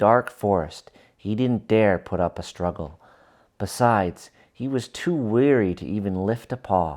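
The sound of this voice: An unforced reading voice shows ordinary pitch variation.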